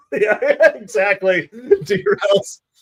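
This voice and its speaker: A man with a New Jersey accent speaks with ordinary pitch variation. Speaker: baseball livestream host. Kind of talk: live fan play-by-play commentary. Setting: livestream. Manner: animated.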